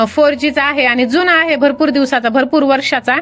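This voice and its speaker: Her voice sits high for a woman, with fairly even intonation. Noticeable background noise runs under the recording. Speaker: YouTuber making faceless videos. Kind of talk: tutorial.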